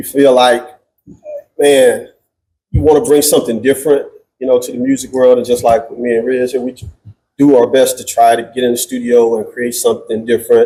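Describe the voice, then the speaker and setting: A dark, mellow tone carries an American accent and monotone, flat intonation. The pace is fairly quick, yet long, frequent pauses break it up. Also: man, medium pitch for a man. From St. Louis, Missouri. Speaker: R&B and rap singer. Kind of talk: casual interview chat.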